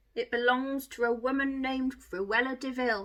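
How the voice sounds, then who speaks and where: A woman does a gruff, put-on character voice at a high pitch. She keeps a moderate pace with fairly even intonation. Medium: read story.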